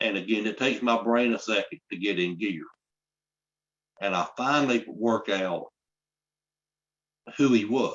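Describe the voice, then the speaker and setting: A man with a South Carolina accent speaks at a medium pitch and moderate pace, using lively intonation. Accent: Southern US (South Carolina). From US South, South Carolina upstate. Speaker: storyteller. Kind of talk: storytelling to an audience. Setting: live online library event.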